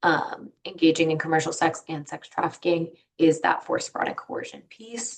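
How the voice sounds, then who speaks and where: The woman's voice sits at a fairly low pitch. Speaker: victim services presenter. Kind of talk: webinar presentation. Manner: fast; casual, hesitant with fillers.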